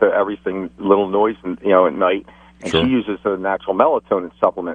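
At a fairly quick pace, a man with an ordinary speaking voice talks in a fairly low pitch with fairly even intonation. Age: 50s. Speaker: caller, construction worker. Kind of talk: call-in question.

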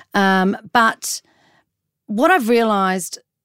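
With an Australian accent, a woman speaks in an animated tone, her dry, close sound carrying no echo on a very clean recording with a silent background. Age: 40s. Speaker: journalist and TV and radio personality. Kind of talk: casual chat.

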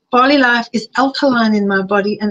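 A woman with a fairly high, somewhat breathy voice talks at a fairly quick pace with fairly even intonation. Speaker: health coach and author. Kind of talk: webinar presentation. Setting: live online webinar. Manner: fast.

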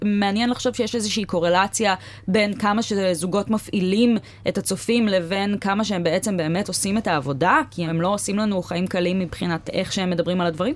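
At a fairly quick pace, a woman with a medium pitch and ordinary pitch variation talks in an unremarkable speaking voice. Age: 20s. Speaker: podcast host. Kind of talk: casual chat. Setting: studio.

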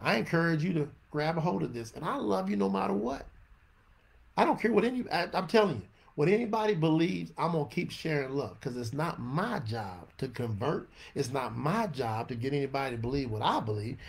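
This man speaks in an animated tone with a Southern US accent, his fairly high pitch making very wide swings. His pace is fairly quick and his voice is somewhat breathy. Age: 50s. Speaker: religious teacher. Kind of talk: scripture teaching livestream. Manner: off-the-cuff.

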